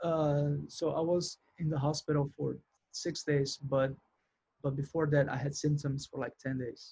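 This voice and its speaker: A man with a Brazilian accent speaks somewhat breathily at a fairly high pitch and a fairly slow pace, with monotone, flat intonation. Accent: Brazilian accent, noticeable but mild. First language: Portuguese. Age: 40s. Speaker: musician and studio engineer. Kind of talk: interview. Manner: halting.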